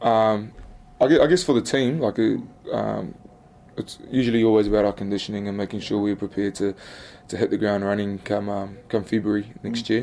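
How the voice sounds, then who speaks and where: Pausing long and often, a man with a New Zealand accent speaks in a fairly low pitch with a dark, mellow tone. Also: fairly even intonation, fairly quick pace. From New Zealand, Wellington (Upper Hutt). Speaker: professional rugby player. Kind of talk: interview. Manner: halting, many fillers and repetitions.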